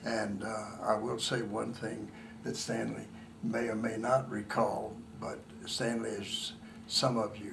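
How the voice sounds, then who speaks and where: With audible room echo and noticeable background noise, a man speaks with an American accent. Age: 80s+. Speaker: family member. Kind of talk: family reunion interview.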